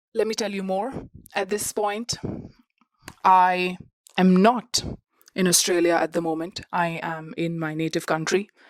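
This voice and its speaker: A woman at medium pitch with a non-native accent, fairly even intonation, a fairly slow pace and long, frequent pauses. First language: not English. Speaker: student podcast host. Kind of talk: personal podcast monologue. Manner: conversational with fillers.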